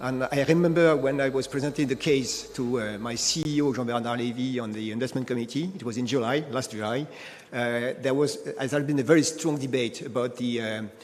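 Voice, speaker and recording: A man with a French accent and medium pitch speaks at a fairly quick pace with fairly even intonation over noticeable background noise. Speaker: energy company executive. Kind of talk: panel discussion. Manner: halting, many fillers.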